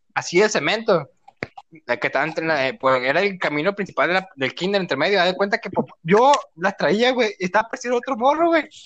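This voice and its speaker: A Mexican accent at a fairly quick pace. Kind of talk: casual chat. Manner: animated.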